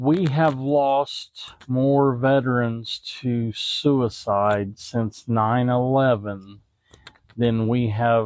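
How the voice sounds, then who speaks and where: In a Southern US accent, a man talks at a very slow pace with fairly even intonation. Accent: Southern twang. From Indiana, Kentucky family. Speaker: veterans charity ambassador. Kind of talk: interview. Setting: outdoors at golf outing.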